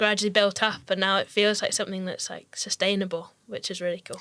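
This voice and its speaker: A woman talks very fast with a slight Scottish accent. Her tone is bright and sharp. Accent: only slight Scottish. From Scottish Highlands, near Inverness. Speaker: professional mountain bike racer. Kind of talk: casual interview chat.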